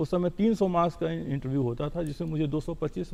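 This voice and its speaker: A man's dark, mellow tone, fairly high in pitch, with ordinary pitch variation. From Bihar, India. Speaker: civil servant. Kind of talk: TV interview.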